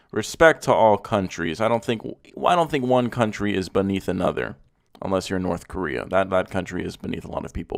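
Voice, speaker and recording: Over a silent background in a very clean recording, a man with an American accent talks fairly quickly in an animated tone at a fairly low pitch. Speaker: car YouTuber. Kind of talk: casual reaction commentary. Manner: animated, sarcastic.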